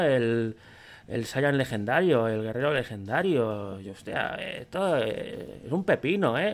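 A man at a fairly slow pace, with very wide pitch swings. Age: 30s. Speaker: YouTuber. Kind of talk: casual commentary reacting to online quiz. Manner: animated. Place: home room.

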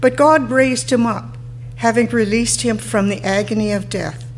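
Light background noise sits behind a woman speaking at a moderate pace. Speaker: lay scripture reader. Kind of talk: scripture reading. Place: church. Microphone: podium.

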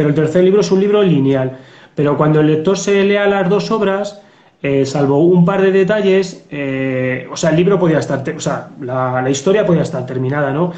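Delivered at a moderate pace with ordinary pitch variation, the speech has an audible room echo. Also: man. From Spain. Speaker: police officer and novelist. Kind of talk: interview. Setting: video call. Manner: halting. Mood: relaxed, reflective. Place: home room. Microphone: video call.

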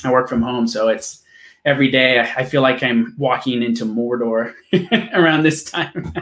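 Against a quiet background with audible room echo, a man speaks at a moderate pace. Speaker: interview host. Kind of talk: casual interview intro. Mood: relaxed, laughing. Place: home room. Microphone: webcam.

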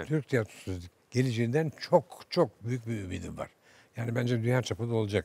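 A man speaks at a moderate pace in a medium pitch. His voice is somewhat breathy, with ordinary pitch variation. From Istanbul, Turkey. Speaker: theatre director. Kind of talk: interview answer. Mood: warm, hopeful reminiscing. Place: studio.

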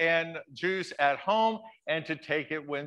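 The background is quiet. A man speaks in a bright, sharp tone. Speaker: pastor. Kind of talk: church welcome and announcements. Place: church.

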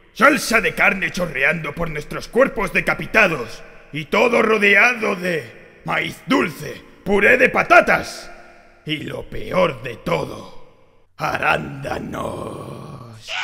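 A man puts on a character voice at a high pitch. He goes at a very slow pace, with very wide pitch swings and big swings in loudness. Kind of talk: sermon. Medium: dub. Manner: impassioned, shouting.

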